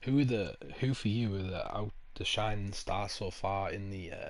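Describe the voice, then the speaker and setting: A man is speaking. Audible room echo is present. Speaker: gaming streamer. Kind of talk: casual chat. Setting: live stream.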